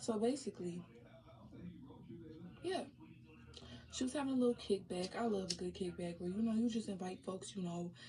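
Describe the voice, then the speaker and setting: Somewhat breathy with a dark, mellow tone, the voice moves at a fairly quick pace with lively intonation, broken by long, frequent pauses. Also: woman, medium pitch for a woman. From Detroit, Michigan. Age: 20s. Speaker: storytime vlogger. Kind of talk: casual talk to camera.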